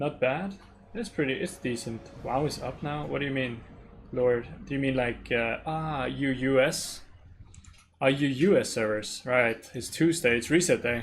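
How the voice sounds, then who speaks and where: A man speaks with a slight Danish accent. His pace is fairly slow and his pitch variation ordinary. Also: medium pitch for a man. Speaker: gaming streamer. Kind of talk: casual live-stream chat. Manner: casual, relaxed.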